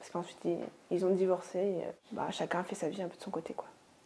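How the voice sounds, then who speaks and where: A woman speaks at a fairly quick pace and medium pitch. Her intonation is flat and monotone, over noticeable background noise. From Normandy, France (rural, near Caen). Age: 20s. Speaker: osteopath, interview guest. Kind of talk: testimony interview. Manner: hesitant, many fillers.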